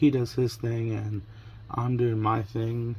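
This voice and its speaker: A somewhat breathy voice with a dark, mellow tone. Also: man. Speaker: crafting vlogger. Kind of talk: casual vlog chat. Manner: conversational, rambling storytelling.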